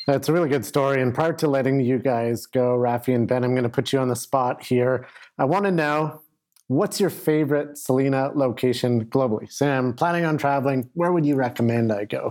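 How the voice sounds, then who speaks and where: A man with an ordinary speaking voice talks at a fairly quick pace, his medium pitch showing ordinary pitch variation and his loudness very even. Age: young. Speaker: podcast host. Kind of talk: interview.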